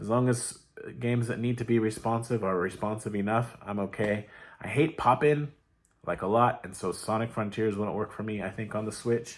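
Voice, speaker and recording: At a moderate pace, a man speaks with fairly low pitch and fairly even intonation. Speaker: gaming youtuber. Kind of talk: casual monologue. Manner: rambling, halting.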